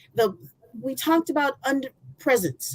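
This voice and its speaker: A woman talks loudly and fairly slowly at a high pitch. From Michigan. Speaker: former college athlete. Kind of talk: testimony.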